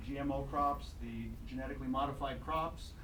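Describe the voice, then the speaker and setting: A man with a Midwestern US accent speaks at a fairly slow pace. There is noticeable background noise and audible room echo. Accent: US Midwest. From Iowa/Illinois, US Midwest. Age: 60s. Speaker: doctor and health radio broadcaster. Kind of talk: public comment at city council. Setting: city council meeting. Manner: halting, with fillers.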